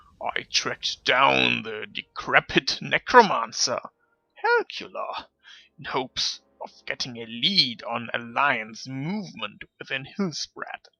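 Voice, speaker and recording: A man uses a put-on character voice. He talks at a fairly slow pace. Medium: game stream. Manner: speaks of himself in third person; loud, broken grammar.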